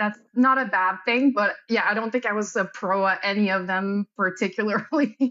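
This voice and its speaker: At a moderate pace, a woman with a Quebec accent speaks at a fairly high pitch with fairly even intonation. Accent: Québécois French accent in English. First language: French. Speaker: athletic therapist and military reservist. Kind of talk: interview.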